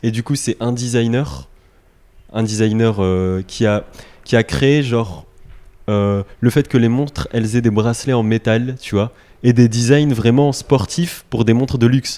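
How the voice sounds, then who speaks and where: Dark, mellow male voice at medium pitch, fairly slow pace and ordinary pitch variation, in a very clean recording with a silent background. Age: 20s. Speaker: graphic designer. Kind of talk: casual chat. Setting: in person in Lille.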